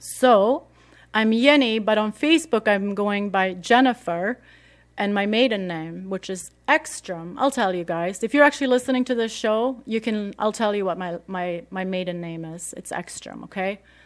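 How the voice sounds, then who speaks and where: A woman with a Swedish accent speaks at medium pitch and moderate pace, with ordinary pitch variation. Her loudness swings a lot in a very clean recording with a silent background. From Sweden. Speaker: radio host. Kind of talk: casual radio talk. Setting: radio studio. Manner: casual, many fillers.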